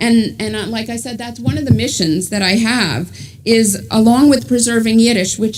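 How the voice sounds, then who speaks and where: With a New York accent, a woman talks at a moderate pace and a fairly high pitch, using ordinary pitch variation amid audible room echo. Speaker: author and journalist. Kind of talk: book talk to a congregation.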